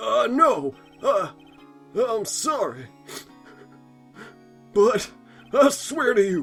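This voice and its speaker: In a put-on character voice with extremely high pitch and very wide pitch swings, a man speaks at a very slow pace over faint music in the background. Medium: fan dub. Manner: nervous, stammering.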